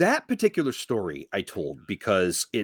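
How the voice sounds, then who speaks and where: The recording is very clean, with a silent background and a dry, close sound with no echo, as a man speaks with vocal fry. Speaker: podcast host guest. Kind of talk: casual podcast chat. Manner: scatterbrained, casual.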